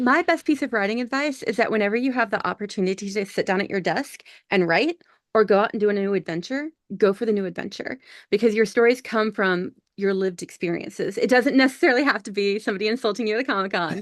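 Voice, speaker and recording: Against a quiet background, a woman with an American accent talks at a very fast pace in a fairly high pitch with lively intonation. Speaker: author. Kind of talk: interview.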